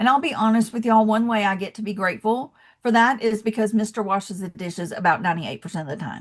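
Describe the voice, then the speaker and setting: A woman at a very fast pace, fairly high in pitch and somewhat breathy, over a quiet background. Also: ordinary pitch variation. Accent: Southern US. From US South, Atlanta, Georgia. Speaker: motivational speaker. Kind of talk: motivational talk. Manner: animated.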